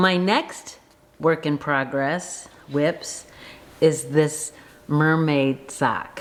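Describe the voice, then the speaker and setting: A woman speaks very slowly in a very deep, low voice, with fairly even intonation, long and frequent pauses, and noticeable background noise. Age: 50s. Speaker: knitting vlogger. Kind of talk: casual talk to camera.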